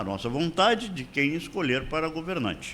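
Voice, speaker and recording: Here a man's fairly high voice moves through very wide pitch swings. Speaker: lawyer and radio commentator. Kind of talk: radio commentary.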